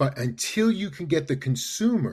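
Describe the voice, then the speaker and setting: The somewhat breathy voice carries a New York accent and lively intonation. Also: man. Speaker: marketing consultant. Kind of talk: interview. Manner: animated.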